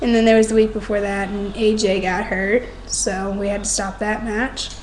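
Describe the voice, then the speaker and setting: A quiet woman's voice at medium pitch, flat and monotone, at a moderate pace, with audible room echo and noticeable background noise. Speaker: wrestling fan vlogger. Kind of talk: casual webcam monologue. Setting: home at night, others asleep.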